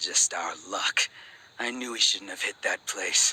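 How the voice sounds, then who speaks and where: A man does a raspy, put-on character voice at a fairly slow pace. The sound is dry and close with no echo. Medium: video game.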